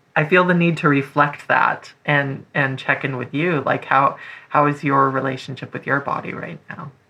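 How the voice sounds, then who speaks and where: A woman's very deep, low voice with a bright, sharp tone, in an American accent, at a moderate pace with monotone, flat intonation. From North Florida. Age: 20s. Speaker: writer. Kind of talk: casual chat.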